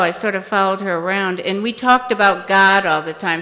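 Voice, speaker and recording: A woman's medium-pitched voice over music in the background. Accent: American. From US Midwest, Indiana. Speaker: recovery speaker. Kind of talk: testimony. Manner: halting, with repetitions and fillers.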